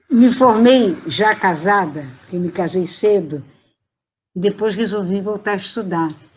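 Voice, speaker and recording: The voice is somewhat breathy, with lively intonation. It moves at a very slow pace. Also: woman. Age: 80s+. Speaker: retired teacher and education professor. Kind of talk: interview answer. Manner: good-humoured.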